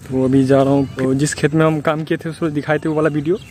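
A man talks at a fast pace with a fairly high pitch and a slightly mellow tone. His pitch moves very little.

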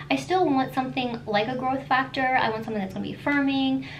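Under the woman's voice there is light background noise. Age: 30s. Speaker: skincare YouTuber. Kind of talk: tutorial. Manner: animated. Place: home room.

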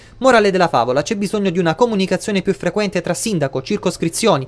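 Speaking at a very fast pace, a man uses a high pitch with lively intonation. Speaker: news anchor. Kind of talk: formal newsreading, anchor links introducing each report. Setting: studio. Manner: measured, crisp broadcast delivery.

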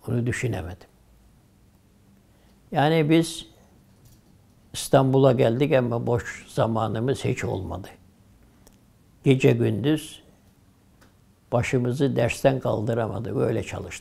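Speaking at a very slow pace with long, frequent pauses, a man uses a dark, mellow tone with vocal fry and ordinary pitch variation. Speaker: retired imam. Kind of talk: oral history interview answer. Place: home room. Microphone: lapel.

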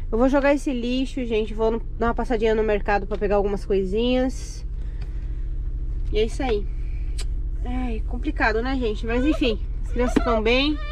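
Against light background noise in a dry sound with no echo, a woman talks at a moderate pace with ordinary pitch variation and long, frequent pauses. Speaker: mother vlogger. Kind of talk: casual vlog chat. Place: car. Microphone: phone near.

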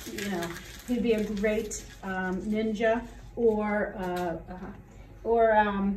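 A woman's very slow, flat, monotone voice, with light background noise and audible room echo. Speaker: teacher. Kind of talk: casual Q&A chat. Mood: playful, light-hearted. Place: classroom.

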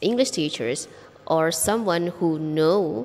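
A woman with an Indonesian accent, amid noticeable background noise and audible room echo. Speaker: English teacher. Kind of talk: vlog monologue.

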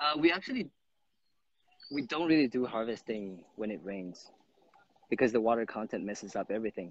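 A man's voice with lively intonation at a fairly quick pace, dry with no echo. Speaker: guest. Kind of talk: interview answer. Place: open country. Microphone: phone near.

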